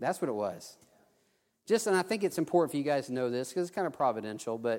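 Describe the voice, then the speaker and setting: With a Texan accent, a man talks in a fairly high pitch with lively intonation on a very clean recording with a silent background. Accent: Texan Southern US. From South Texas. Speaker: preacher. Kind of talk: sermon with personal testimony. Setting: church. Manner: halting, with many restarts.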